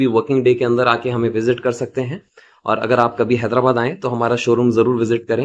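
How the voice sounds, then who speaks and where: Speaking at a moderate pace, the man holds a medium pitch in a monotone, flat intonation. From South India. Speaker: badge machine seller. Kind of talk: product tutorial and sales pitch.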